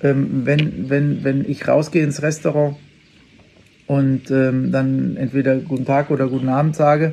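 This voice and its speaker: This man's voice sits fairly high for a man. He talks at a very slow pace. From western Germany (Unna, Ruhr area). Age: 50s. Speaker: chef. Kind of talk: interview. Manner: hesitant, frequent fillers.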